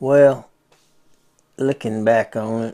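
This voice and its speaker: The voice has a dark, mellow tone with fairly even intonation. The speech moves at a fairly slow pace. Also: man. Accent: Southern US. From US South, Bristol, Florida. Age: 70s. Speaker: retired sports coach. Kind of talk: interview. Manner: brief, measured answers.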